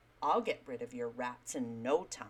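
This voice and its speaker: In a put-on character voice, a woman growls at a very deep, low pitch and a moderate pace. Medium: read story.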